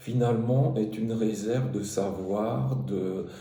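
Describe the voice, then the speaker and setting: A man's lively intonation at a medium pitch, with noticeable background noise and audible room echo. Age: 60s. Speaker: truck driver turned digital marketer. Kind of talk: personal testimony. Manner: halting, many hesitations and repetitions; spontaneous.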